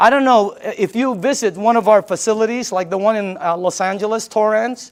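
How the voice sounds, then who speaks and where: A man talks at a very fast pace with a high pitch. His tone is animated, with ordinary pitch variation. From Philippines. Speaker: sales presenter. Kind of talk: sales pitch.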